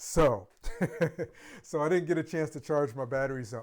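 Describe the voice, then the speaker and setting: With an ordinary speaking voice, a man talks at a fairly quick pace in a fairly high pitch with ordinary variation, captured in a very clean recording with a silent background. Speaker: product reviewer and RC hobbyist live streamer. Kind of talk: live stream product talk. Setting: home office.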